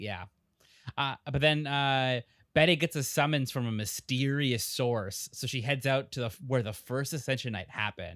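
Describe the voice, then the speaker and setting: A man speaks in a normal speaking voice at medium pitch and a moderate pace, with a dry, close sound, no echo, and a very clean recording over a silent background. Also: ordinary pitch variation. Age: 20s. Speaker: podcast host. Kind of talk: casual chat.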